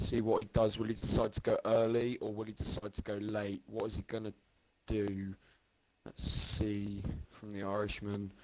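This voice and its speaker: His fairly low voice stays monotone and flat as the man speaks. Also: moderate pace. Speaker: esports race commentator. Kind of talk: live commentary. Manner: talking quieter than usual.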